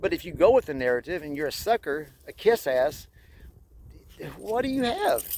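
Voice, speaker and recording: A man with a high pitch speaks at a moderate pace with long, frequent pauses, very wide pitch swings and big swings in loudness. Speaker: spiritual vlogger. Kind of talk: casual monologue vlog while walking. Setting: outdoors in snow by a pond. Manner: halting speech from past strokes; hesitant, many fillers and restarts.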